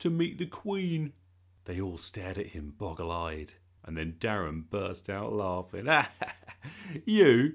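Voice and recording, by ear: Text read aloud, natural-voiced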